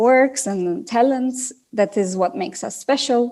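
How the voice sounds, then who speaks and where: A woman speaks with a non-native accent in a dark, mellow tone. The recording is very clean, with a silent background. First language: not English. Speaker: business executive. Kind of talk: interview. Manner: halting.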